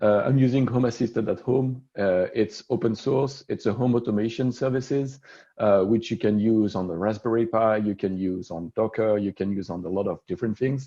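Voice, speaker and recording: A man speaks with a French accent at medium pitch, his tone dark and mellow, at a moderate pace with hardly any pauses. The background is quiet. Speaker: solutions architect presenting at a tech meetup. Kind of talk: technical presentation.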